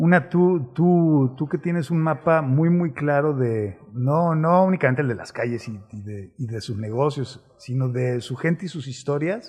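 Speaking at a fairly slow pace with hardly any pauses, a man with a somewhat breathy, fairly high voice uses lively intonation and big swings in loudness. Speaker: city chronicler and show host. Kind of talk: conversational interview.

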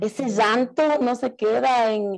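A woman speaks very slowly with ordinary pitch variation. The background is quiet. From Ecuador. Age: 40s. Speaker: actress and theatre director. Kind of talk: casual interview.

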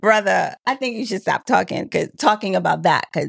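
A woman is heard in a dry, close sound with no echo against a quiet background. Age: 30s. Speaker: podcast co-host. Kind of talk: casual chat.

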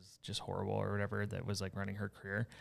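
On a very clean recording with a silent background, a man with an American accent speaks in a fairly low pitch. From US Gulf Coast. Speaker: podcast host. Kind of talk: casual chat.

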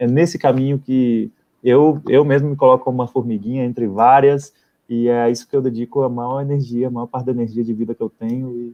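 A man's medium-pitched voice in a flat monotone at a fairly quick pace. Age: 30s. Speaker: socio-environmental activist. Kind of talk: live stream conversation. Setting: online live stream.

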